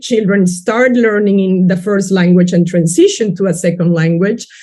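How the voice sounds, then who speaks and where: Somewhat breathy and dark, mellow in tone, a woman speaks at medium pitch with ordinary pitch variation in a Spanish accent. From Peru. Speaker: education researcher. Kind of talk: webinar panel talk.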